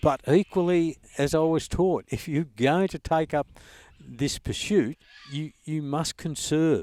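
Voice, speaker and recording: A man's fairly high-pitched voice in an Australian accent, dark and mellow in tone, at a fairly slow pace, with a dry, close sound with no echo on a very clean recording with a silent background. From Australia, Sale, eastern Victoria. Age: 70s. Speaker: duck hunter and conservationist. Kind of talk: casual interview. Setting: outdoors in the bush.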